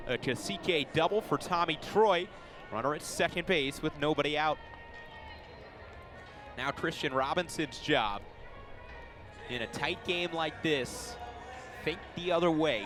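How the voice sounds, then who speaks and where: Over music in the background, a man with a fairly high pitch speaks at a fairly slow pace, with ordinary pitch variation and long, frequent pauses. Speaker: baseball play-by-play broadcaster. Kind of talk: baseball radio play-by-play call.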